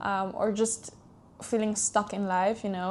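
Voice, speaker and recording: A woman with a Swiss-Italian accent speaks at a medium pitch in a flat, monotone way. The background is quiet. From Switzerland. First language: German or Italian. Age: 20s. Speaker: podcast host. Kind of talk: casual personal monologue. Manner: warm, soft, hesitant with fillers.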